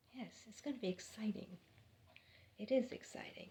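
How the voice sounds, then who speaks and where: Her tone dark and mellow and somewhat breathy, a woman speaks at a moderate pace with lively intonation. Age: 60s. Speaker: spiritual vlogger. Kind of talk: spiritual monologue. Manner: animated.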